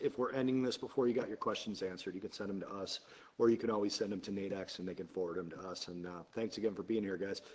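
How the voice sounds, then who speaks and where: The speaker here is a man. He talks very fast. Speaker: trading educator. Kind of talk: webinar presentation. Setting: live webinar.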